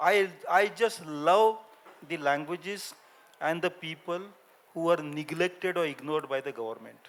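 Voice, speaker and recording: A man with a Gujarati accent speaks at a high pitch. His pace is moderate and his pitch variation ordinary. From India, Maharashtra village. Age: 70s. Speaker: linguist and author. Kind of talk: panel discussion. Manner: halting.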